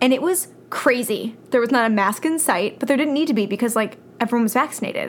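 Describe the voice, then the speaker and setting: With an ordinary speaking voice, a woman speaks fairly quickly at a fairly high pitch. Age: 20s. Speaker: podcast co-host. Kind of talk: casual chat.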